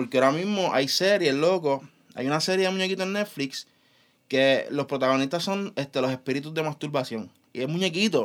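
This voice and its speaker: A man talks at a fairly quick pace in a plain, everyday voice, with a fairly high pitch and lively intonation. The recording is very clean, the background silent. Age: 20s. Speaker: podcast co-host. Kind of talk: casual chat.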